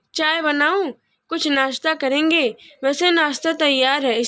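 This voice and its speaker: In a put-on character voice, a woman speaks very slowly at a high pitch with fairly even intonation. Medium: read story. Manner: gentle, modest.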